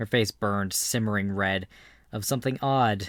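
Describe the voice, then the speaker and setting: An ordinary speaking voice at a moderate pace, captured in a very clean recording with a silent background and a dry, close sound with no echo. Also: man. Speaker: audiobook narrator. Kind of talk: audiobook narration.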